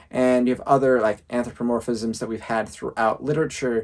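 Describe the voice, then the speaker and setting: Fairly even intonation runs through this ordinary speaking voice. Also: man. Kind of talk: casual review talk to camera.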